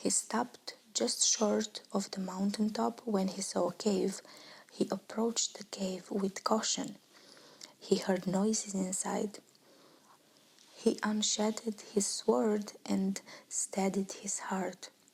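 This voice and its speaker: Whispering and soft-spoken, a woman talks at a very slow pace in a gentle tone against noticeable background noise. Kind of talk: ASMR bedtime story reading. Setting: quiet, close-mic ASMR recording. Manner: whispered, soft, gentle.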